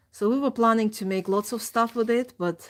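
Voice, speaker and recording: A woman with a non-native accent. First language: not English. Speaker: crafts streamer. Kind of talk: casual chat. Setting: live stream. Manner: halting.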